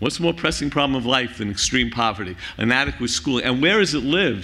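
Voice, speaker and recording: Speaking in a Bronx accent, a man with a medium-pitched voice shows vocal fry, a bright, sharp tone and lively intonation. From New York City (Bronx). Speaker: conference speaker, university center director. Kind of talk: closing plenary remarks. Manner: animated, impassioned.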